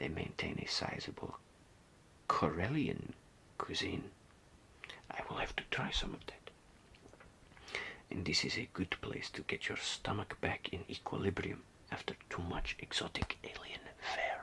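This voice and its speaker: A whisper with a strong non-native accent, at a fairly slow pace, with long, frequent pauses. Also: man. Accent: strong foreign accent, non-native English. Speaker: ASMR artist. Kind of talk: ASMR role-play reading aloud from a guidebook. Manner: whispered, soft, slow, hesitant.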